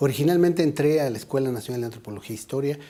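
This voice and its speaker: A man speaks with a central Mexican accent. His pitch varies in an ordinary way. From Mexico City. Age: 60s. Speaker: anthropologist, head of a national heritage institute. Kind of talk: interview.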